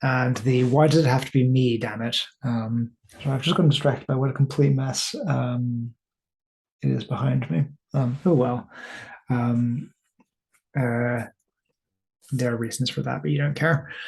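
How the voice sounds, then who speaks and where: The speaker goes at a fairly slow pace, somewhat breathy, with long, frequent pauses. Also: man, medium pitch for a man, ordinary pitch variation. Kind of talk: casual talk to camera. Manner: rambling, hesitant.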